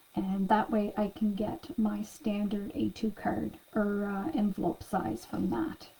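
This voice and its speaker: Soft-spoken and medium in pitch, a woman talks at a fairly slow pace with lively intonation and hardly any pauses over noticeable background noise. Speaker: craft class instructor. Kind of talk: tutorial.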